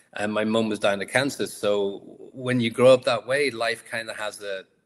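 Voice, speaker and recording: Someone talks in a Liverpool accent at a moderate pace. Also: man. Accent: Liverpool (Scouse) English. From England, Liverpool. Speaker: entrepreneur and author. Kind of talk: interview.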